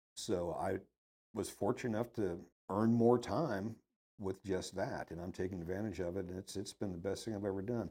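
The voice carries an American accent and a dark, mellow tone. It moves at a moderate pace with fairly even intonation. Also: man, fairly low pitch for a man. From Ohio, then Dallas, Texas. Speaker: retired business owner. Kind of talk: casual interview chat.

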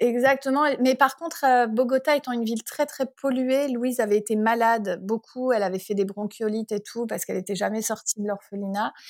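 A woman with a normal speaking voice, fairly high in pitch, talks at a fairly quick pace with ordinary pitch variation and hardly any pauses. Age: 40s. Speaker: parent who travelled the world with family. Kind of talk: casual interview.

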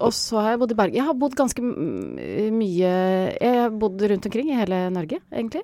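A woman speaks at a moderate pace with hardly any pauses, her pitch fairly high and her tone dark and mellow. Her intonation is lively. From Norway, Sogn, then western Norway. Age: 60s. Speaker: revue director. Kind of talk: casual chat.

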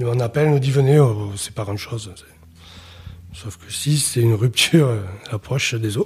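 A somewhat breathy man at medium pitch and moderate pace, with ordinary pitch variation, big swings in loudness, and long, frequent pauses. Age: 30s. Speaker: father telling his story. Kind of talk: testimony. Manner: reserved, opens up gradually.

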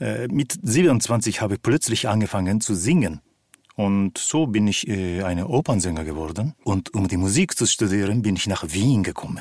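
A man with a Japanese accent speaks at a moderate pace, his pitch fairly low and his intonation lively. The sound is dry and close, with no echo. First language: Japanese (speaking German). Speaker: actor and opera singer. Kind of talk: interview.

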